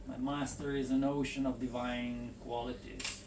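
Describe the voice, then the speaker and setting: Audible room echo surrounds a man speaking at a fairly slow pace with an Italian accent. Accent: foreign accent, Italian style. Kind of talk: reading aloud.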